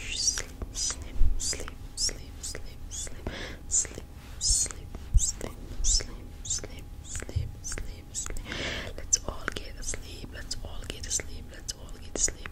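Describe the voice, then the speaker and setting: Whispering, a woman speaks at a very slow pace. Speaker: ASMR creator. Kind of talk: ASMR sleep hypnosis. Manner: whispered. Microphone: studio mic.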